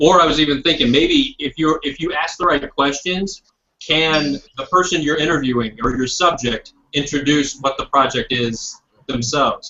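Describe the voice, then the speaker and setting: In an American accent, a man speaks at a moderate pace in a fairly high pitch with ordinary pitch variation and a normal speaking voice. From Indiana, US Midwest. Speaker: videographer. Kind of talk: guest talk in online class. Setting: video call.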